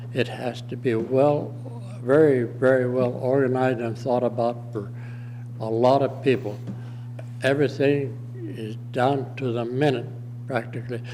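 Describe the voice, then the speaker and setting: There is audible room echo and noticeable background noise as a man speaks at a moderate pace in a flat monotone, medium in pitch, with long, frequent pauses. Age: 80s+. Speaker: war veteran. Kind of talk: public testimony at county meeting. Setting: county commissioners meeting room. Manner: halting.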